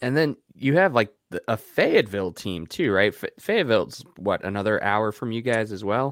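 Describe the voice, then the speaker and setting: A plain, everyday voice at a moderate pace with lively intonation, in a very clean recording with a silent background. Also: man, medium pitch for a man. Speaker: podcast host. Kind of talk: casual chat.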